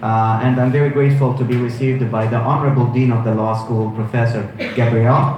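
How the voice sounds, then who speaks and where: Noticeable background noise and audible room echo accompany a man's medium-pitched voice. He talks at a fairly quick pace with flat, monotone intonation. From Egypt. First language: Arabic. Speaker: law professor. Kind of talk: guest lecture with interpreter. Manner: fast; halting.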